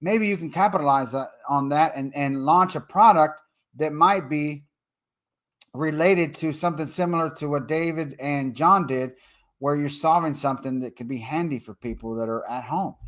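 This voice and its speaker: An animated man's fairly high voice with a Texas accent, at a moderate pace, with ordinary pitch variation and big swings in loudness. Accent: Texas accent, sounds like a cowboy. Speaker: online marketing trainer. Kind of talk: live-stream tutorial. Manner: casual, animated.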